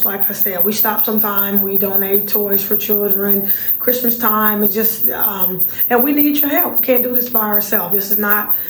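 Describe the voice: A woman with a raspy voice talks at a moderate pace with few pauses and fairly even intonation. Audible room echo is present. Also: medium pitch for a woman.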